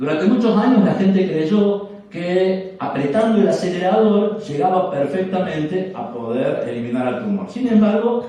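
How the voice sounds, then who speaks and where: A man with a high pitch talks at a moderate pace, his pitch swinging very widely. The recording has audible room echo and noticeable background noise. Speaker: scientist giving a talk. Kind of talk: lecture.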